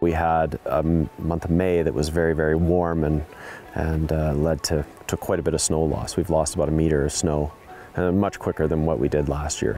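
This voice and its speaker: The voice is monotone and flat, at a moderate pace with very even loudness. Faint music plays behind it, and the sound is dry with no echo. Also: man, very deep, low pitch for a man. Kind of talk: interview answer. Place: open country.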